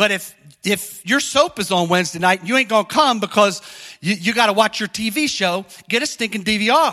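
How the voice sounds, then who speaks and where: A man's raised, projected voice, high-pitched and animated, with a bright, sharp tone, ordinary pitch variation and a moderate pace. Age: 50s. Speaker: pastor. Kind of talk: sermon. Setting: church.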